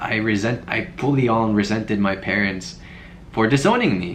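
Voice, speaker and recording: A man talks. His voice carries audible room echo. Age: 20s. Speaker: video blogger. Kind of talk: reaction commentary, casual chat.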